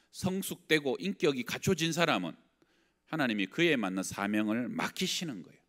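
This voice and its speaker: Speaking fairly slowly, this man has a fairly high pitch and makes very wide pitch swings. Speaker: pastor. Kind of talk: sermon. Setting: church. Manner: conversational.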